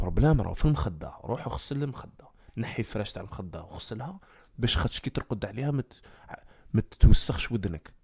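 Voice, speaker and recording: At a moderate pace, a man's somewhat breathy, medium-pitched voice moves through very wide pitch swings and big swings in loudness. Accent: Algerian. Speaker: comedic storyteller / live streamer. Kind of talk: casual live-stream talk.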